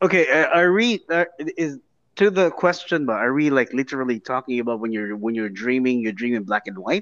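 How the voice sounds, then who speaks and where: A plain, everyday voice talks at a fairly quick pace with lively intonation, the sound dry and close with no echo against a quiet background. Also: man, medium pitch for a man. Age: 30s. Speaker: podcast guest. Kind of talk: casual chat.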